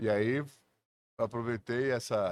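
In a very clean recording with a silent background, a man's voice sits at a medium pitch. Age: 50s. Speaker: food content creator, former designer. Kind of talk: casual chat. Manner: animated.

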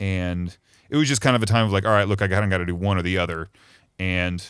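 On a very clean recording with a silent background, a man with an American accent talks at a fairly quick pace in a very deep, low pitch with fairly even intonation. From Missouri. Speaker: recording engineer. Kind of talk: casual chat.

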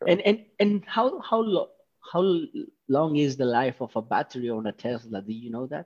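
A man with a fairly high pitch speaks with very wide pitch swings. The sound is dry and close, with no echo. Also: moderate pace. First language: Spanish. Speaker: podcast host. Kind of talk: casual interview.

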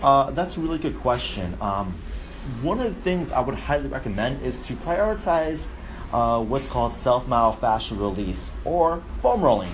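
A man talks at a moderate pace, with noticeable background noise and audible room echo around him. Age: 30s. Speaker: fitness coach. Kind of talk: Q&A explainer monologue.

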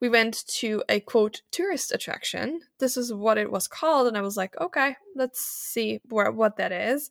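With a German accent, a woman speaks at a fairly high pitch and a moderate pace, using ordinary pitch variation in a dry, close sound with no echo. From Germany. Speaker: nonprofit founder and podcaster. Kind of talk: interview, casual conversation. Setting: remote podcast call. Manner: animated.

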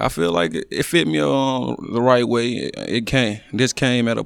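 The man's voice sits at a medium pitch and moves at a moderate pace. It's a very clean recording with a silent background. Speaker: college football defensive lineman. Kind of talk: casual interview.

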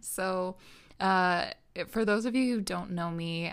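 The recording is very clean and the background silent. A woman talks in an American accent at a medium pitch. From Minnesota, US. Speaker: podcast host. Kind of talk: personal monologue. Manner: hesitant with frequent fillers.

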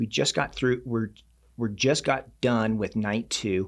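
A man with an ordinary speaking voice talks at a fairly slow pace, at a medium pitch with ordinary pitch variation. The recording is very clean, with a silent background. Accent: American. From Reno, Nevada. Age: 40s. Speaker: ultra-endurance coach and athlete. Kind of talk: casual interview.

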